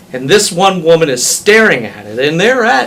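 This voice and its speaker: A man's lively intonation at a moderate pace, over noticeable background noise. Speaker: auctioneer. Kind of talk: interview answer.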